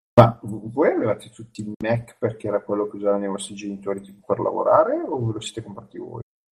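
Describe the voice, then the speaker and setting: The man's loudness swings in big jumps as he speaks at a very fast pace. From Sardinia. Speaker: podcast guest. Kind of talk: casual chat.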